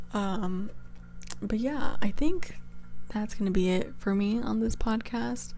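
Quiet and at a very slow pace, a woman with an American accent leaves long, frequent pauses. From California. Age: 20s. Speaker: college student podcaster. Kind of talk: casual solo podcast. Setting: dorm room. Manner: trying to be quiet.

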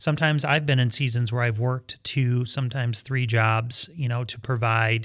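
A man with an American accent talks at a moderate pace and medium pitch with fairly even intonation in an ordinary speaking voice, in a very clean recording with a silent background. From Michigan, US. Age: 40s. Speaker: pastor. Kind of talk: casual chat.

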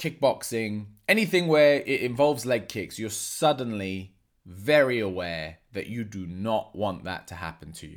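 This man has a normal speaking voice at a medium pitch, with lively intonation and a fairly slow pace. The recording is very clean, with a silent background. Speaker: martial arts coach and podcast host. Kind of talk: solo podcast monologue.

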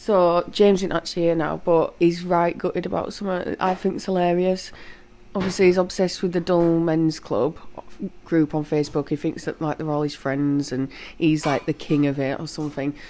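A woman speaks with a Yorkshire accent at a fairly quick pace. Her pitch is fairly low and her intonation fairly even. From Leeds, northern England. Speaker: podcast co-host. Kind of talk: casual chat between a couple.

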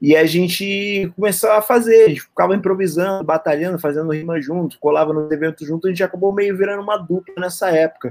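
At a fairly quick pace with hardly any pauses, a man speaks in a high pitch with ordinary pitch variation. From Lapa, Rio de Janeiro, Brazil. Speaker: rapper. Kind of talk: casual interview.

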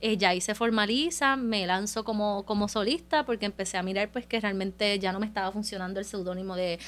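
Her speech moves at a fairly quick pace with hardly any pauses, and this woman's medium pitch shows ordinary variation. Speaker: singer-songwriter and podcast co-host. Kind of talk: casual chat.

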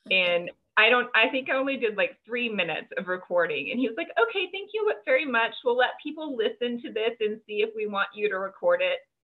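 Using an unremarkable speaking voice, a woman with a fairly high pitch talks at a fairly quick pace with lively intonation and hardly any pauses. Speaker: podcast host and fiction author. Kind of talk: casual interview chat. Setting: video call.

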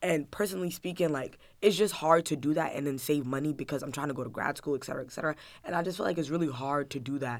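Speech races by at a very fast clip with an American accent. The recording is very clean, with a completely silent background. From New Jersey, US (Newark). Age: under 20. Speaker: podcast co-host. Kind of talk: casual chat.

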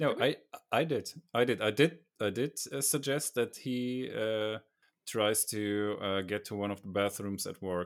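With a German accent, a man speaks at a medium pitch and a fairly slow pace, with ordinary pitch variation and long, frequent pauses. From Germany. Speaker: podcast co-host. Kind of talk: casual chat. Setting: video call.

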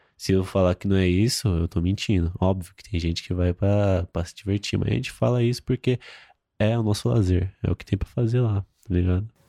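A man with a very deep, low pitch and a dark, mellow tone speaks at a fairly quick pace with ordinary pitch variation and big swings in loudness, in a dry, close sound with no echo on a very clean recording against a silent background. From Brazil, São Paulo (Itaquera, east side periphery). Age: 20s. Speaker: fashion model. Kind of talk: casual chat.

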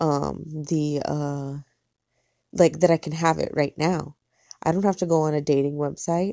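In a very clean recording with a silent background and a dry, close sound with no echo, a woman with an American accent, a very deep, low pitch and a dark, mellow tone speaks at a fairly slow pace with fairly even intonation and long, frequent pauses. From US (Mexican American). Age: 30s. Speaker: podcaster. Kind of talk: solo monologue. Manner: casual, rambling with fillers.

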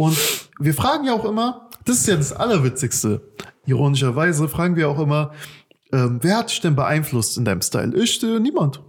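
A man speaks at a moderate pace with a fairly high pitch, very wide pitch swings and very even loudness. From Germany. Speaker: podcast host and youth workshop leader. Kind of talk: casual chat.

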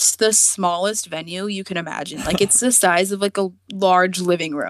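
Heard in a dry, close sound with no echo, a plain, everyday voice with an American accent speaks at a moderate pace with ordinary pitch variation. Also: woman. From US, Virginia. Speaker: artist. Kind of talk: casual interview.

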